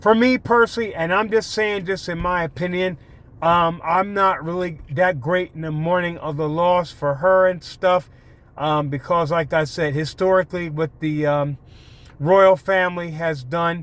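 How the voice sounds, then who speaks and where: In a slight Baltimore-DC accent, the voice moves at a moderate pace with ordinary pitch variation on a very clean recording with a silent background. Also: man, high pitch for a man. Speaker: YouTuber, commentator. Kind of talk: casual vlog monologue. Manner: hesitant, many fillers.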